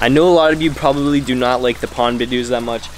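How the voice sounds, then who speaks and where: Talking at a very fast pace over noticeable background noise, a man uses a medium pitch. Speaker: fishing and pets vlogger. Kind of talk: casual vlog. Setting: outdoors by pond, then pet store. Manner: animated.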